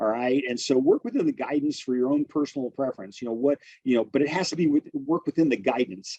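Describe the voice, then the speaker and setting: A man speaks at a fairly high pitch in a dark, mellow tone, with ordinary pitch variation. The sound is dry and close, with no echo. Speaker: real estate instructor. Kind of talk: webinar lecture. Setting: online webinar. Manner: fast.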